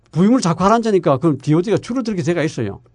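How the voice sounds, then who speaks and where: A man's voice sits high in pitch. It swings very widely up and down. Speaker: environmental engineering professor. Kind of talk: casual chat.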